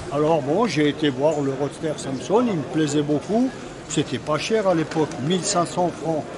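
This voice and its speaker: A man's very slow speech amid noticeable background noise. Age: 80s+. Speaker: vintage car parts dealer. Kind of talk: casual interview at trade show. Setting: trade show floor. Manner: halting. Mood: animated, reminiscing. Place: market. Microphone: phone near.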